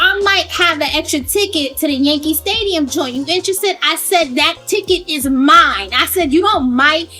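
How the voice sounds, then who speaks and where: Over music in the background, a woman uses a raised, projected voice with an animated, upbeat tone at a moderate pace. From Brooklyn, New York. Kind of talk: casual storytelling to camera.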